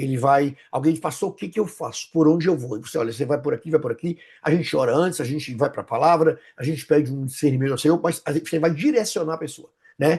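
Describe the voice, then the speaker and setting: Somewhat breathy and at a very fast pace, a man speaks with a fairly high pitch and ordinary pitch variation. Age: 60s. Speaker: pastor and psychoanalyst. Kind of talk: interview conversation. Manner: halting, with many repetitions.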